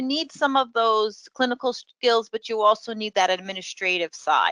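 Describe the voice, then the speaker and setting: Against a quiet background, a woman with a New York accent has a bright, sharp tone, heard dry and close with no echo. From New York City. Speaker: professor. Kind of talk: webinar presentation. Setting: online webinar. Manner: hesitant with many fillers.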